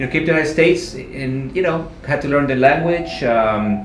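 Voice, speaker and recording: A man with a Spanish accent speaks with ordinary pitch variation. Audible room echo and noticeable background noise can be heard. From Mexico. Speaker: real estate agent. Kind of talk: interview.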